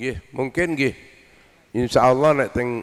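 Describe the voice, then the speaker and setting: A man speaks with fairly even intonation. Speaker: Islamic cleric. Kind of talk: religious lecture. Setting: outdoor gathering with audience. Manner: soft-spoken.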